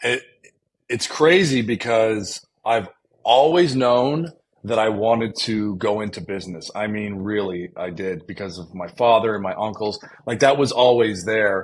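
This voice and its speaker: With an Ontario accent, a man talks at a fairly slow pace in a fairly low voice, his pitch varying in an ordinary way and his loudness swinging widely. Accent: Canadian (Ontario). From Canada, Windsor, Ontario. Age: 40s. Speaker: entrepreneur. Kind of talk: casual interview chat. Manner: halting, repeats words.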